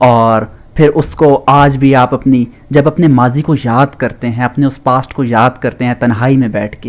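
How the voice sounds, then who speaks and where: This man has an ordinary speaking voice at a medium pitch, with fairly even intonation. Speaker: vlogger interviewer. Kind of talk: interview question.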